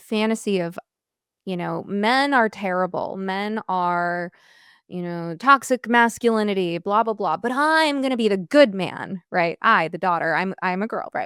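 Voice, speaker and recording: A woman in a normal speaking voice at medium pitch and a fairly slow pace, on a very clean recording with a silent background and a dry, close sound with no echo. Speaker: therapist and podcast host. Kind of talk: podcast interview questions.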